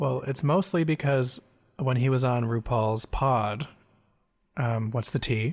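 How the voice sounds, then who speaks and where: With long, frequent pauses, a man at a medium pitch speaks fairly slowly in a somewhat breathy voice at very even loudness. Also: ordinary pitch variation. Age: 20s. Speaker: podcast co-host. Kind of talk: casual chat.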